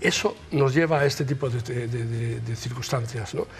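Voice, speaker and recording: Clearly audible noise sits in the background as a man talks. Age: 70s. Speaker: victim's family member. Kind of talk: TV talk show discussion.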